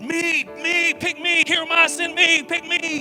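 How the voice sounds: Clear background noise sits behind a man doing a put-on character voice. He pitches it extremely high and talks at a fairly slow pace.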